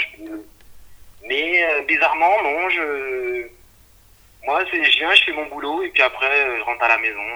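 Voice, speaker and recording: A man speaking at a very slow pace. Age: 40s. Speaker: IT technician. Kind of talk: casual interview. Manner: halting.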